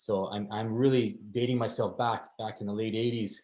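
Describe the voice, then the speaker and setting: Fairly low in pitch, a man speaks at a moderate pace in a monotone, flat intonation. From Canada, Vancouver. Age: 50s. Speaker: consulting firm partner. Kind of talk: career talk to students. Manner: halting, many fillers and repetitions.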